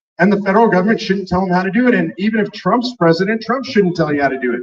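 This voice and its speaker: Speaking at a very fast pace, a man has a high pitch and ordinary pitch variation. His tone is animated. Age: 60s. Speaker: political activist speaker. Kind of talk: speech at a rally.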